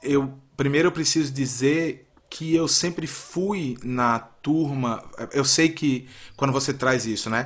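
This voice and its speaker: A man speaks at a very slow pace and a fairly high pitch. His pitch variation is ordinary. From Brazil, Recife (Pernambuco). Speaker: astrology podcast guest, father. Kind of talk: casual chat.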